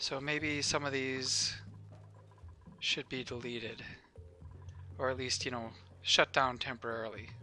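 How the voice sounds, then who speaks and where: A man of medium pitch mumbles in a bright, sharp tone at a fairly slow pace, with long, frequent pauses and fairly even intonation. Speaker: gaming YouTuber. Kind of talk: gameplay commentary. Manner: mumbling; casual, thinking aloud.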